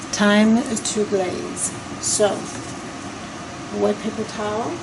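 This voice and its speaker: Over noticeable background noise and audible room echo, a woman talks at a very slow pace, fairly high in pitch with fairly even intonation. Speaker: decorative painter. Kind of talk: tutorial. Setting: client's basement. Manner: soft-spoken.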